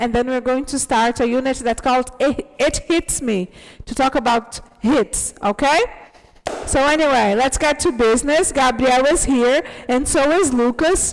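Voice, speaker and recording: Loud and animated in tone, a woman speaks with a high pitch. Her pace is moderate, and her pitch variation is ordinary. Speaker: English teacher. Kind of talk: online class.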